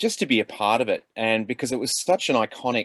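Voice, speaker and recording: With an Australian accent, a man talks at a moderate pace in a dry, close sound with no echo. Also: very clean recording, silent background. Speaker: actor. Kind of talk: panel discussion. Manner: halting.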